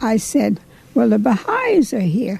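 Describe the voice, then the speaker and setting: A woman with an American accent speaks at a very slow pace in a fairly high pitch, with noticeable background noise. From Ohio. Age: 80s+. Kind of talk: interview answer.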